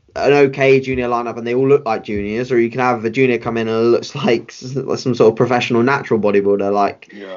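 The speaker talks at a fairly quick pace with a British accent and fairly even intonation. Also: man. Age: 20s. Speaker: bodybuilding coach and competitor. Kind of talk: casual interview chat.

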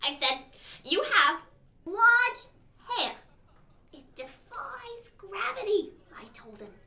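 This female-sounding voice is a put-on character voice, extremely high in pitch for a woman, with very wide pitch swings, a very slow pace, and long, frequent pauses. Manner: rambling, confused.

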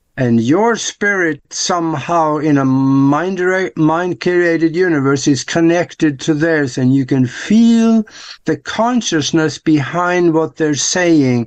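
Against a quiet background, a man with an American accent talks at a very slow pace with hardly any pauses, very even loudness, a fairly high pitch and ordinary pitch variation. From outside the US. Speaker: show co-host. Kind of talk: casual chat.

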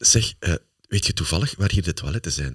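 With a Flemish accent, a man talks at a fairly quick pace and a fairly low pitch, his voice showing vocal fry. His pitch swings very widely, and the sound is dry and close with no echo. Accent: Flemish Dutch. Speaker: motivational speaker, podcast host. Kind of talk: casual chat.

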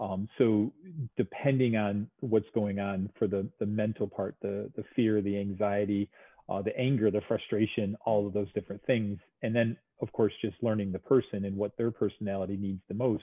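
A man's fairly low voice, flat and monotone in intonation, at a moderate pace. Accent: New York. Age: 50s. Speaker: physical therapist. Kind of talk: casual interview.

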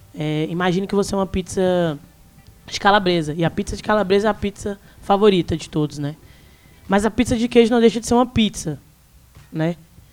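A woman speaks with ordinary pitch variation and long, frequent pauses while music plays in the background. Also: medium pitch for a woman, fairly quick pace. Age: 20s. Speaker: youtuber, student and activist. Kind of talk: live panel discussion. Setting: live recording at bookstore event with audience.

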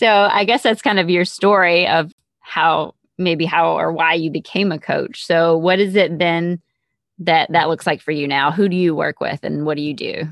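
A woman with a plain, everyday voice speaks at a fairly low pitch and a moderate pace, with ordinary pitch variation. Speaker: podcast host and life coach. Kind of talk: interview.

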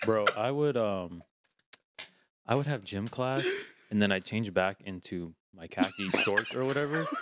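A man with an American accent, medium pitch, lively intonation, a fairly slow pace and long, frequent pauses. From St. Petersburg, Florida. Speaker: podcast co-host. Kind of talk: casual banter.

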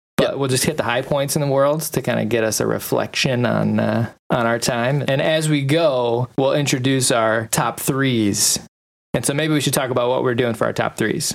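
In an ordinary speaking voice, a man talks at medium pitch and a moderate pace with fairly even intonation and very even loudness. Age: 30s. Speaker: podcast host. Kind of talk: casual chat. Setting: video call.

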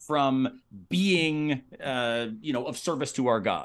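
This is an unremarkable speaking voice with an American accent. Its pitch varies in an ordinary way. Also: man. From Florida (Tampa), US South. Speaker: philosophy professor and podcaster. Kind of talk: casual interview conversation.

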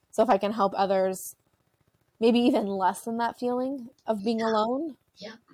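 A woman with a Canadian accent speaks at a moderate pace in a dark, mellow tone with a fairly high pitch, fairly even intonation, and big swings in loudness. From Ontario, Canada. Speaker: mental health advocate and social services worker. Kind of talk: casual interview.

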